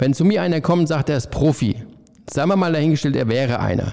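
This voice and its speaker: Speaking at a moderate pace, a man with a fairly high pitch has a dark, mellow tone and vocal fry. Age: 50s. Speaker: head chef. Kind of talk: casual interview chat.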